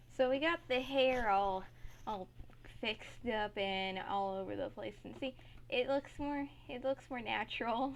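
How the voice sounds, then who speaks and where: A woman speaks softly at a fairly slow pace. Her pitch sits fairly high. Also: ordinary pitch variation. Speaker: gaming tutorial creator. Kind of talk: tutorial. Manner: soft-spoken.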